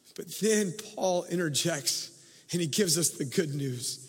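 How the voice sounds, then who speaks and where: A man talks at a fairly slow pace with lively intonation. Noticeable background noise can be heard. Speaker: pastor. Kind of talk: sermon. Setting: church service with congregation.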